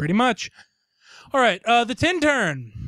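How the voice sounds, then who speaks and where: Someone with a Tennessee accent speaks at a fairly slow pace in a very clean recording with a silent background. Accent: Southern US (Tennessee). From US South, Tennessee. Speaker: podcast co-host. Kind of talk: casual chat.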